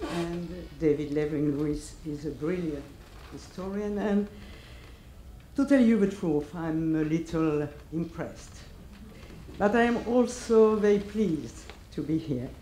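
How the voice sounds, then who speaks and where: Long, frequent pauses break up fairly slow speech in a French accent. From France. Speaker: academic speaker. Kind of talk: lecture.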